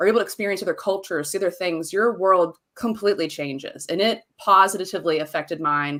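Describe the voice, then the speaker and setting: With a Southern US accent, a woman talks at a fairly quick pace in an animated tone, her fairly low pitch showing ordinary variation in a very clean recording with a silent background. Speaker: marketing business owner. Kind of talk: podcast interview.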